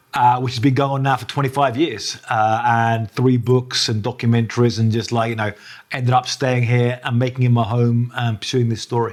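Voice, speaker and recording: Speaking at a fairly quick pace with a southern English accent, a man keeps a medium pitch and a monotone, flat intonation. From southern England, near Brighton. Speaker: journalist. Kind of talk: interview. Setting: in person, Mexico City. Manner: hesitant, many fillers.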